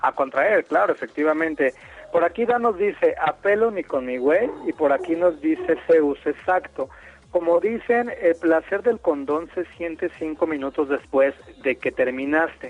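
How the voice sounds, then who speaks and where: Against noticeable background noise, a man with a high pitch and lively intonation comes through in a dry, close sound with no echo. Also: fairly slow pace. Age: 30s. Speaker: radio host. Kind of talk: casual chat.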